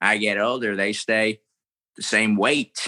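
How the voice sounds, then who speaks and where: A man with an American accent talks at a very slow pace in a fairly low pitch. The recording is very clean with a silent background and a dry, close sound with no echo. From Florida, US. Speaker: impressionist comedian. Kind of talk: casual interview chat with impressions. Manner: animated, switches into character voices.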